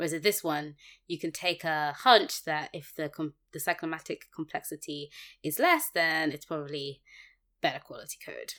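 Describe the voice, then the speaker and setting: Heard on a very clean recording with a silent background, a woman speaks at a moderate pace with a very deep, low pitch and a bright, sharp tone. Her intonation is fairly even, but her loudness swings widely. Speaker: podcast co-host, software developer. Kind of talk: casual chat about a programming book.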